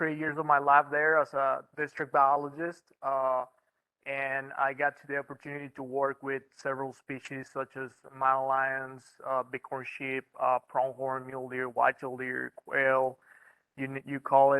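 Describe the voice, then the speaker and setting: In a Mexican accent, a man speaks fairly slowly at a medium pitch, his intonation flat and monotone. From northern Mexico, Reynosa, Tamaulipas. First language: Spanish. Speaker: wildlife biologist. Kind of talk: presentation talk. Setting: meeting room with online audience. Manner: halting, many fillers.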